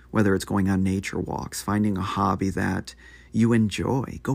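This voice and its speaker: On a very clean recording with a silent background, a man with a fairly low-pitched voice and vocal fry speaks at a fairly slow pace with ordinary pitch variation. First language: Spanish. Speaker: podcast host, military veteran. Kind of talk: motivational monologue.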